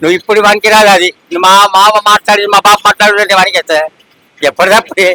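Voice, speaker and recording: In a dry, close sound with no echo, a man uses a raised, projected voice at a high pitch, with fairly even intonation and very even loudness. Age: old. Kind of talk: street interview answer.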